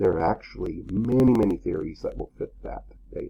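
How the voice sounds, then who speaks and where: A man is speaking. He keeps a fairly quick pace. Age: 60s. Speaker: philosophy professor. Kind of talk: lecture. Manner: casual, with fillers; fast.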